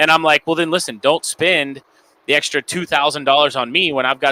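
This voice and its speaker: Fairly quick, fairly high male speech with a bright, sharp tone, dry and close with no echo. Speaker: event DJ and DJ business owner. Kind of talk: casual panel discussion. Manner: fast.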